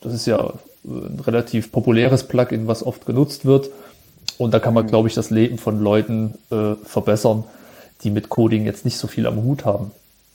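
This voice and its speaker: A man speaks at medium pitch in a dark, mellow tone with fairly even intonation. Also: moderate pace. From Thuringia, Jena. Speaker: web developer. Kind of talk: casual chat.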